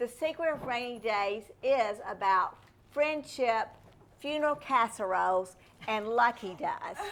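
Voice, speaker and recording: At a fairly slow pace, a woman with a Southern US accent talks in a fairly high voice with lively intonation. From US South. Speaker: novelist. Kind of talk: interview.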